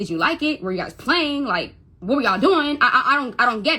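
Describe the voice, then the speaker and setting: Her tone is bright and sharp, with lively intonation. The woman speaks at a fairly quick pace. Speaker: mother telling her story. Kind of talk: testimony. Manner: stuttering when upset; emotional, halting.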